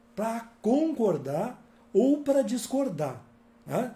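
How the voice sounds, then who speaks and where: The voice has a dark, mellow tone and lively intonation, heard with audible room echo. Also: man. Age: 60s. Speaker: author and workshop speaker. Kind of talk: workshop talk. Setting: live-streamed workshop with videomaker in next room. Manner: calm, conversational.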